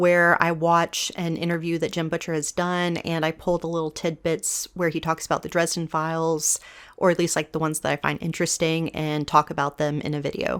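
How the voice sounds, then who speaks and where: In a very clean recording with a silent background, a woman talks at a fairly quick pace with a fairly low pitch. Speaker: book commentary youtuber. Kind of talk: video essay monologue. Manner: soft, not projecting.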